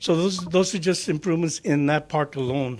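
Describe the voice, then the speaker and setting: A man with an American accent at a moderate pace. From Florida (LaBelle, Hendry County). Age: 60s. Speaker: county commissioner. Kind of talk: public meeting presentation. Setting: government workshop meeting. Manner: halting, many fillers.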